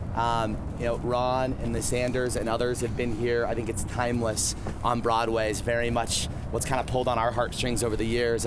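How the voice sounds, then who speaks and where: Through audible room echo and noticeable background noise, a man talks at a moderate pace in a medium pitch. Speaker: restaurant owner. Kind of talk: casual talk to students on a site walk.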